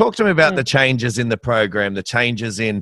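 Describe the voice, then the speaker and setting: Speaking at a fairly quick pace, a man with an Australian accent has a bright, sharp tone. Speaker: podcast host. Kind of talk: interview. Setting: video call.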